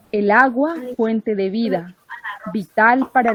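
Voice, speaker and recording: A woman speaks at medium pitch. The sound is dry and close, with no echo. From Putumayo, Colombia (Inga people). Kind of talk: online group meeting contribution. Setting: video call from home. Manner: hesitant, many fillers.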